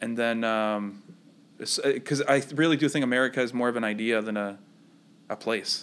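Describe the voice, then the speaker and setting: Recorded very cleanly against a silent background, a man uses a plain, everyday voice at a medium pitch with fairly even intonation. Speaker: podcast host. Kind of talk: casual banter podcast. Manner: loud.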